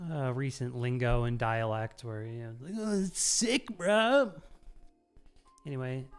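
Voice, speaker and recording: A woman in an American accent, her pitch very deep and low, with very wide pitch swings, big swings in loudness, a fairly slow pace, long and frequent pauses, and music in the background. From US Midwest. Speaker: gaming streamer. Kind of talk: casual chat. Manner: hesitant, many fillers.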